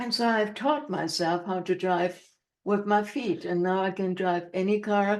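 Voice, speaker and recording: A woman with a German accent speaks at a fairly slow pace. Her pitch is medium. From Germany. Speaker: motivational speaker and author. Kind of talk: interview. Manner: chatty.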